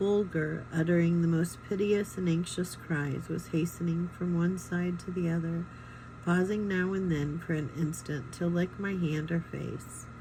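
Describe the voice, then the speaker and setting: Quiet and somewhat breathy, a woman with a fairly low pitch speaks fairly slowly in a dark, mellow tone with fairly even intonation. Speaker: reader of a book. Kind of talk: reading aloud; casual chat.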